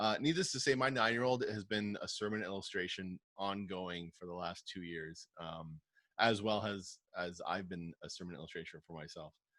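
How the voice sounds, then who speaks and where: With a southern Ontario accent, a man talks at a moderate pace and a fairly low pitch. His tone is bright and sharp, with ordinary pitch variation. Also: big swings in loudness. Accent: Canadian English (southern Ontario). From Canada, Windsor, Ontario. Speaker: youth pastor. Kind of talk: casual interview.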